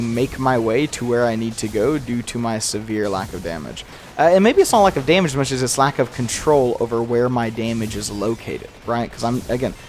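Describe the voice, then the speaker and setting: With music in the background, a man talks fairly quickly at a medium pitch with ordinary variation. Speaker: gaming YouTuber. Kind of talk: gameplay commentary. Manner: mumbling; continuous talking.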